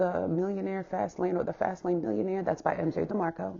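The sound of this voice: A woman speaks at a fairly quick pace with a fairly low pitch, a dark, mellow tone, a slightly husky edge, vocal fry and little pitch movement.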